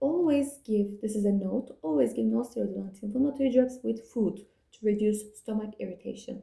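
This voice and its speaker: The voice moves at a fairly quick pace, somewhat breathy and dark and mellow in tone, with ordinary pitch variation. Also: woman, fairly high pitch for a woman. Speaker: student revision video maker. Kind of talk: revision tutorial. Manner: fast.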